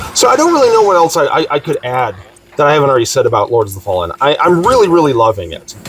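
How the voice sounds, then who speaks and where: Background music is playing. Over it, a man speaks extremely fast. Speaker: gaming YouTuber. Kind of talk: casual video blog. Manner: loud; halting with many fillers.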